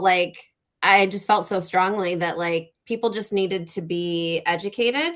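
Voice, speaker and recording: With an American accent, a woman speaks at a medium pitch in a monotone, flat intonation. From New York State. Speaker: English teacher and author. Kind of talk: panel discussion. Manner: hesitant, many filler words.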